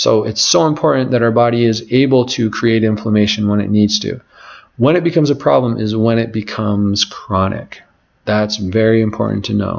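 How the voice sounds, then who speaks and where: A man's unremarkable speaking voice sits at a medium pitch, rising and falling in an ordinary way as he moves along fairly quickly. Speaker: natural health practitioner. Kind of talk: webinar lecture. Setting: live online webinar.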